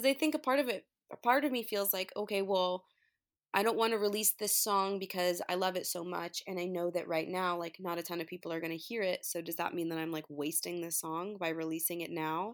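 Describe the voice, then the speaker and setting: She speaks in a normal speaking voice with an American accent and a medium pitch. Her pace is fairly quick, with ordinary pitch variation. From New York. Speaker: singer-songwriter. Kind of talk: casual interview chat. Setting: remote call.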